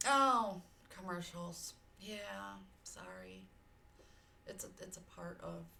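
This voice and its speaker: Amid audible room echo, a woman speaks at a very slow pace in an American accent. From US South, Georgia. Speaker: streamer. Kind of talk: casual chat. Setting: live stream. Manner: loud; animated.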